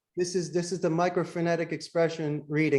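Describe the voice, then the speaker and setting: Fairly quick male speech in a Philadelphia accent, in a very clean recording with a silent background. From US, Philadelphia. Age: 50s. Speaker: call center CEO. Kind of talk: podcast interview.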